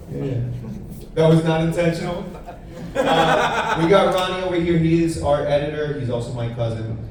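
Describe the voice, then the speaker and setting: Amid noticeable background noise and audible room echo, a man with a fairly high pitch and lively intonation speaks at a moderate pace with long, frequent pauses. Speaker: gaming show host. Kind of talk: convention panel talk. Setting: stage with audience. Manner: loud.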